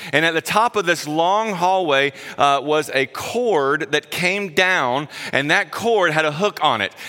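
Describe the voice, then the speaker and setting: A man with a Southern US accent talks at a fairly slow pace and a fairly high pitch, his bright, sharp tone held at very even loudness. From South Carolina. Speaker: guest preacher. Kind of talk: sermon. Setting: church.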